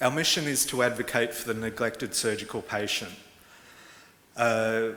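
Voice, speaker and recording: With an Australian accent, a man talks at a moderate pace and medium pitch, his intonation fairly even. Audible room echo and noticeable background noise are present. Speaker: advocacy organisation executive director. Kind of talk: conference presentation. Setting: conference hall with interpreters. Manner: halting, many fillers.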